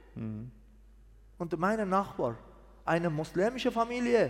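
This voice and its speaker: A man speaks with a Persian accent. His pace is fairly slow. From Iran, Mazandaran. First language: Persian (speaking German). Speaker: pastor. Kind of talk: testimony. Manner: halting.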